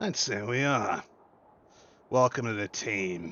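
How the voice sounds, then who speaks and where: A man's raspy put-on character voice at a medium pitch and a fairly slow pace. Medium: actual play. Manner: blunt, folksy.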